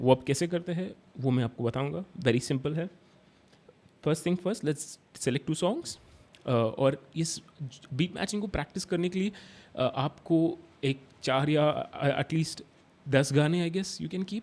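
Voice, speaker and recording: A man with a Hyderabadi accent speaks in a fairly high voice with ordinary pitch variation. He takes long, frequent pauses. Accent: Hyderabadi Hindi. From India, Hyderabad. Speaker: DJ instructor. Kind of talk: tutorial. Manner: halting, many fillers and restarts; Hindi-English code-switching.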